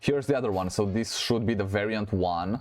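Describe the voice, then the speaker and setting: A man's fairly low voice with ordinary pitch variation, a fairly quick pace and noticeable background noise. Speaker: gaming youtuber. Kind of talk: let's play commentary. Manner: animated.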